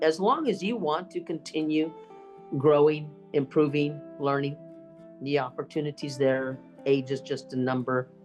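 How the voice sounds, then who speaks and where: With music in the background, a woman with an American accent speaks at a fairly slow pace. Her pitch is very deep and low, with ordinary variation. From Texas. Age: 60s. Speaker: public speaking champion. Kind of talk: interview answer.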